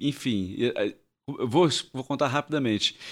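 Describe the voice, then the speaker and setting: With lively intonation and an unremarkable speaking voice, a man talks at a moderate pace on a very clean recording with a silent background. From Rio de Janeiro, Brazil. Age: 50s. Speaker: actor and theatre director. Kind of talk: casual interview chat. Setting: studio.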